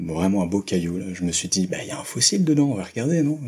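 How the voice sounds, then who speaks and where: Here a man speaks with a very deep, low pitch. His intonation is lively. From Paris region, France. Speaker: working holiday traveler. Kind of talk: interview.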